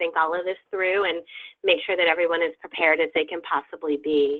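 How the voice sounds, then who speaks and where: An ordinary speaking voice moves at a fairly quick pace. The intonation is fairly even. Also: woman. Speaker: advocacy event organizer. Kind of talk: training webinar briefing.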